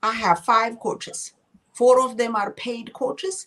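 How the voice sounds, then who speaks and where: A woman with a non-native accent, speaking at a moderate pace. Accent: foreign. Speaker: real estate and financial services agent. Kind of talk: interview.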